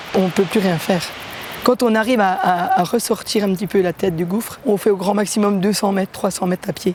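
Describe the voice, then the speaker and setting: This woman's pitch sits at a medium level with ordinary variation. She keeps a moderate pace. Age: 60s. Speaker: cancer survivor, mountain trek participant. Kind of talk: documentary interview testimony. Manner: halting, with hesitations.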